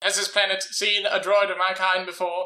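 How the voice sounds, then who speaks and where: Putting on a character voice, a man speaks at a high pitch and a moderate pace with monotone, flat intonation. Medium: actual play.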